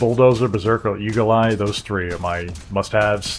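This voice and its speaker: A moderate pace and fairly even intonation in an ordinary speaking voice. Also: man. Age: 40s. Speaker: gaming streamer. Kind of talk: casual live-stream gameplay chat.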